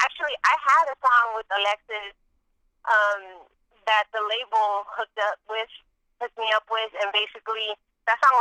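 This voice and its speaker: This woman talks at a moderate pace with fairly even intonation. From San Jose, California. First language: Spanish. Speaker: rapper. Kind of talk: interview. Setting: phone call.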